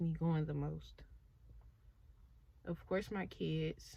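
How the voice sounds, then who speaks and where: A woman speaks at a very slow pace. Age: 20s. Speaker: YouTuber and young mother. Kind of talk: casual Q&A vlog.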